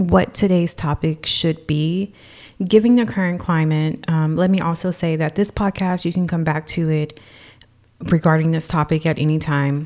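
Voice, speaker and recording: Here a woman's voice has a dark, mellow tone and a fairly low pitch. She speaks at a moderate pace. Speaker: wellness and financial coach. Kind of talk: solo podcast monologue, motivational talk.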